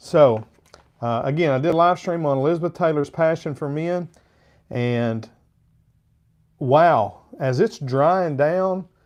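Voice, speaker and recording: Speaking slowly with long, frequent pauses, a man with a fairly high voice and a slight Arkansas accent talks over a quiet background. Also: ordinary pitch variation. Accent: slight Southern (Arkansas). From Arkansas, US South. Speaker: fragrance reviewer, live streamer. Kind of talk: live stream review, casual chat. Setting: live stream with chat.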